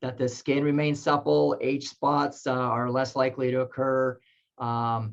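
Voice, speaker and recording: At a fairly slow pace, a man talks in a medium pitch with flat, monotone intonation. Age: 50s. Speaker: tai chi researcher and author. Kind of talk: webinar interview. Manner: halting, many fillers.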